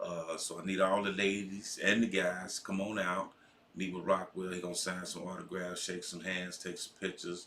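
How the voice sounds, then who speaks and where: Over noticeable background noise, a man with a very deep, low pitch speaks at a moderate pace in a flat, monotone way. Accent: American. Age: 60s. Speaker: co-host and event promoter. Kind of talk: casual chat.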